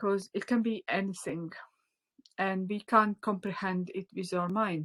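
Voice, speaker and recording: Dry and close with no echo, a woman speaks with a Latvian accent. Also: medium pitch for a woman, fairly even intonation, fairly slow pace. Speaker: spiritual teacher. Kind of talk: online class. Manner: halting.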